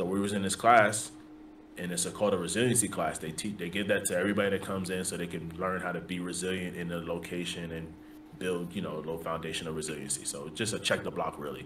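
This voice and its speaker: Amid noticeable background noise, a man with a New York accent and a very deep, low pitch talks at a very fast pace. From US Northeast (the Bronx, New York). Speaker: army drill sergeant. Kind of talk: casual chat. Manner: animated.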